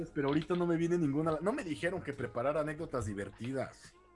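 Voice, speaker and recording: A fairly high-pitched man talking very fast with lively intonation over music in the background. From Mexico City. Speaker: martial arts instructor and radio host. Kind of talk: casual chat.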